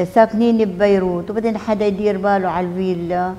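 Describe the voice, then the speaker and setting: The speaker is a woman with a Palestinian accent. Her intonation is monotone and flat. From Palestine, al-Zeeb near Akka. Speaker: refugee and survivor. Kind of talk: testimony. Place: meeting room. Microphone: lapel.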